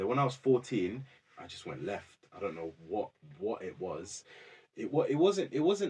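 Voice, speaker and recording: A man talks at a moderate pace and medium pitch, with vocal fry. His pitch swings very widely, and his loudness swings a lot. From London, England. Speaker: former prisoner, rehabilitation worker. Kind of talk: podcast interview. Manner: casual, repetitive fillers.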